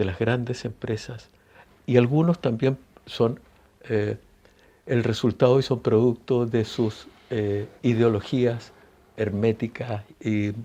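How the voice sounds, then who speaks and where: A man speaks very slowly in a Chilean accent, his medium-pitched voice dark and mellow with fairly even intonation. Long pauses come often, and the background is quiet. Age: 70s. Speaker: singer-songwriter. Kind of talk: interview. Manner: hesitant, many fillers and restarts.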